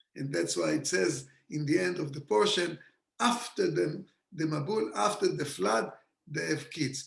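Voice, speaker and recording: A man with an Israeli accent speaks at a fairly slow pace in a fairly high voice with vocal fry and very wide pitch swings. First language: Hebrew. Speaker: kabbalah teacher. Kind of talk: lecture. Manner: animated.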